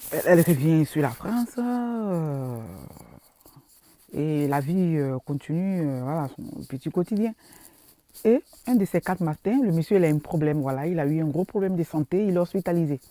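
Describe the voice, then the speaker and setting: With a dark, mellow tone and a fairly low pitch, a woman speaks at a moderate pace with lively intonation and long, frequent pauses, in a dry, close sound with no echo. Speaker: social media vlogger. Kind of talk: casual vlog monologue. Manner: halting, many fillers and repetitions.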